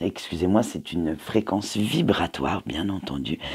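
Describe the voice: A man's fairly slow delivery with lively intonation, a slightly mellow tone and a husky, rough edge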